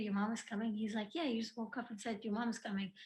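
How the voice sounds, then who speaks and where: The voice is somewhat breathy. It moves at a very fast pace. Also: woman. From Algeria. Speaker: YouTuber. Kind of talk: casual chat.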